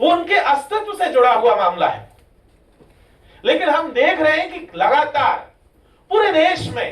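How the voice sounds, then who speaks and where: A man speaks at an extremely high pitch. His pitch swings very widely. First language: Meeni (Meena dialect) (speaking Hindi). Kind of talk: seminar speech. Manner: impassioned.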